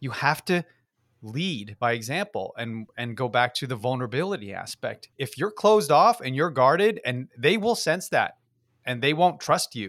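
A man speaks at a moderate pace in an American accent, his fairly high pitch swinging very widely. The recording is very clean, with a silent background. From New York, Yonkers. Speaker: company founder and CEO. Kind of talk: interview. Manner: halting, many repeated words.

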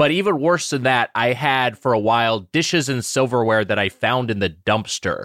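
A normal speaking voice from a man, medium-pitched with lively intonation, at a moderate pace with hardly any pauses, in a very clean recording with a silent background. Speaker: video game podcast co-host. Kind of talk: casual comedic chat.

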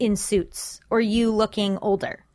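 A woman talks at a fairly slow pace in a fairly high pitch. Hers is an unremarkable speaking voice. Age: 30s. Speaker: comedian and writer. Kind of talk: casual interview chat.

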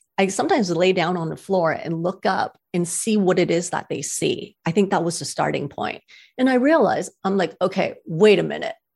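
With a normal speaking voice at medium pitch, a woman talks at a fairly quick pace with ordinary pitch variation and hardly any pauses. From Canada. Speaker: cat rescuer. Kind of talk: casual interview.

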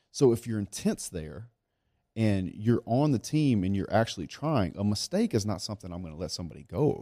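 A man with a Louisiana accent speaks at a fairly quick pace in a fairly low, dark, mellow voice with lively intonation and big swings in loudness, captured in a very clean, dry, close recording with no echo and a silent background. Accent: Southern US (Louisiana). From South Louisiana. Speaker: business owner. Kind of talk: casual interview. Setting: studio.

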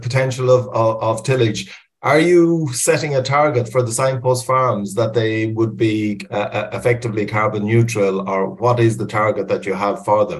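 Somewhat breathy, this voice with an Irish accent keeps a moderate pace and ordinary pitch variation. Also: man. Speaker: webinar moderator, environmental advisor. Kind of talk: moderated webinar discussion. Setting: online webinar. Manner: hesitant, many fillers and repetitions.

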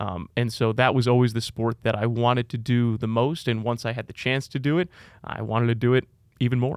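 A man in an ordinary speaking voice, medium in pitch and fairly quick, with fairly even intonation, in a very clean recording with a silent background. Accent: American. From New York, Long Island. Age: 20s. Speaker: baseball play-by-play broadcaster. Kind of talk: casual interview.

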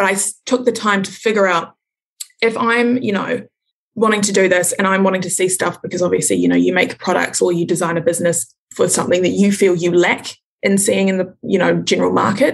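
A woman with a New Zealand accent talks very fast, with ordinary pitch variation. Vocal fry runs through her voice. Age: 20s. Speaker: small business owner. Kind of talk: casual interview.

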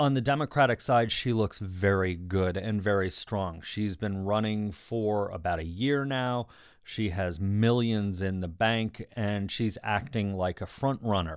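A man speaks in an unremarkable speaking voice at a fairly low pitch. His pace is fairly slow, with ordinary pitch variation and hardly any pauses. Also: very clean recording, silent background. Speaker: political reporter. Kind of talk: interview.

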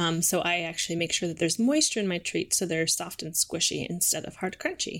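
In an American accent, a normal speaking voice moves at a moderate pace with ordinary pitch variation, recorded very cleanly against a silent background. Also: woman. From Minnesota, St. Cloud. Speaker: dog treat bakery founder. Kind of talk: casual interview chat.

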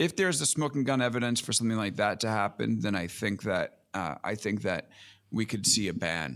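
Fairly quick speech in an American accent, with vocal fry and lively intonation. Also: man, fairly low pitch for a man, very clean recording, silent background. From US Northeast, Long Island, New York. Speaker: tech journalist and podcaster. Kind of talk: casual interview chat.

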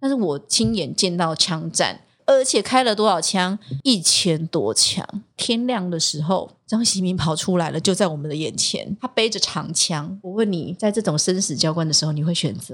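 Speaking at a moderate pace, a woman uses lively intonation at a fairly low pitch. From Taiwan, Tainan. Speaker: TV news anchor and former reporter. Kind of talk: casual interview chat.

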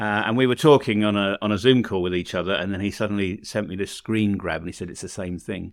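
This man talks very fast with an English accent, his fairly low voice showing ordinary pitch variation. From England. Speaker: podcast host. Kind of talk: casual chat.

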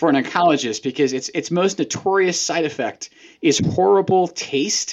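This man has a high pitch and lively intonation. He speaks at a moderate pace. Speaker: oncologist and podcast co-host. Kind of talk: casual conversational podcast chat.

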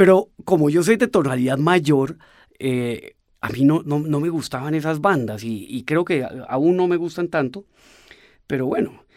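On a very clean recording with a silent background, a man with a fairly high pitch speaks at a fairly slow pace. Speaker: pianist and composer. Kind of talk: interview. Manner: halting, with repeated words.

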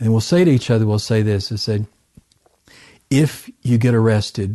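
A man with a Southern US accent talks at a moderate pace in a medium pitch, his tone dark and mellow and his intonation fairly even. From US South, southern Arkansas. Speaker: missionary researcher and author. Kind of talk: interview. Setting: at home.

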